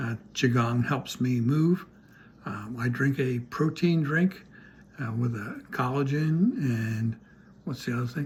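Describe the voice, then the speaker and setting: Medium pitch from a man, somewhat breathy, with ordinary pitch variation at a fairly slow pace. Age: 80s+. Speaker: retired sailor and wellness co-host. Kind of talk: casual chat. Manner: hesitant, many fillers.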